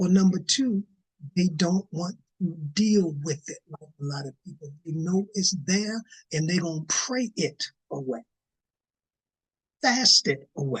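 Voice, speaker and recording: The speech has an animated tone and a fairly slow pace, broken by long, frequent pauses. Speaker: Bible study teacher. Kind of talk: Bible study teaching. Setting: livestream.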